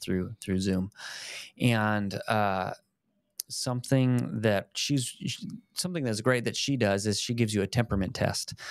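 With an American accent, a man talks at a fairly low pitch with ordinary pitch variation, the sound dry with no echo over a quiet background. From Colorado. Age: 30s. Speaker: fitness and faith video host; faith video host. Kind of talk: casual chat. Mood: earnest, reflective. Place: home room. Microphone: studio mic.

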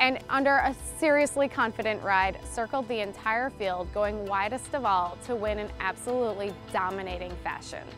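With clear music in the background, a woman talks at a moderate pace with ordinary pitch variation, hardly any pauses, and a dry sound with no echo. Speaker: stallion sales manager. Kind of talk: interview answer. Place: open country. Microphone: lapel.

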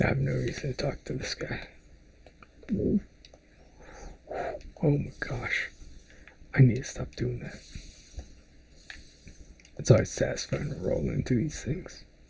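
The pace is fairly slow. Long pauses come often. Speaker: ASMR gaming video maker. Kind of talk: whispered gameplay commentary. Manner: whispered.

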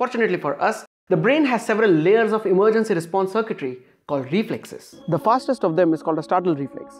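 With faint music in the background, a man in an Indian accent talks at a very fast pace. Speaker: science video creator. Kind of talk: scripted science narration. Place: home room. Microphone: lapel.

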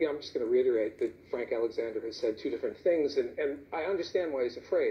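Light background noise sits under a man's very fast speech. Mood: argumentative, accusing. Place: studio. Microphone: lapel.

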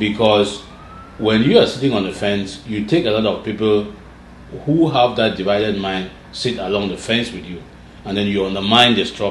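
Fairly low male voice at a moderate pace with ordinary pitch variation, audible room echo, and light background noise. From Cameroon (anglophone Southern Cameroons). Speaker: political activist leader; interview guest. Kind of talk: interview conversation. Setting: studio interview. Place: office.

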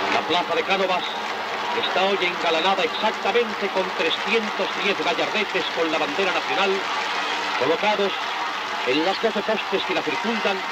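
Speech moves at a moderate pace with long, frequent pauses over loud background noise. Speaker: radio reporter. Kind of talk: live outside broadcast commentary. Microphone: old recording.

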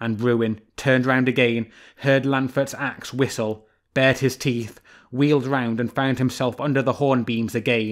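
Fairly even intonation, carried by an unforced reading voice

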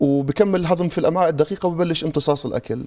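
A man with a dark, mellow tone speaks at a fairly quick pace with fairly even intonation. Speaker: guest. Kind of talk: interview answer. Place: studio. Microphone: lapel.

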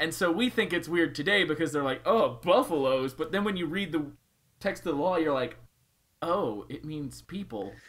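A man with a fairly high pitch speaks at a moderate pace with lively intonation. Vocal fry runs through his voice. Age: 20s. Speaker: podcast co-host. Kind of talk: casual chat.

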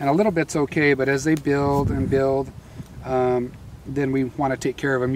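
Over noticeable background noise, a man speaks at a fairly quick pace. His intonation is fairly even, and the sound is dry with no echo. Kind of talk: interview answer. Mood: calm, explanatory. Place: farm machine.

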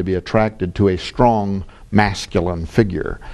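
This man has a fairly low pitch and a dark, mellow tone. His intonation stays fairly even. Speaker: author and publisher. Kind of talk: interview.

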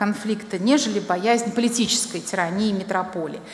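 Audible room echo colors this recording. The female speaker keeps a moderate tempo, and her pitch varies in an ordinary way. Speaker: presenter. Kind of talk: lecture. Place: hall. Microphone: podium.

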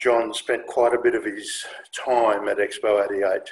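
This man has a fairly low pitch that shows little movement. A slightly husky edge marks his voice.

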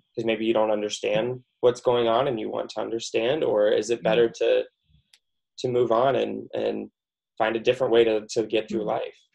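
A man with an American accent at a very fast pace against a quiet background. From Iowa, US Midwest. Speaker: marriage and family therapist; guest. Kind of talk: casual interview chat. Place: home room. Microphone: video call.

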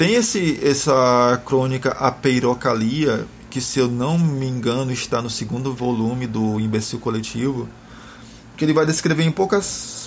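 Over noticeable background noise, a man of medium pitch talks at a fairly slow pace with ordinary pitch variation. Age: 30s. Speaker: blogger discussing philosophy. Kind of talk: casual chat.

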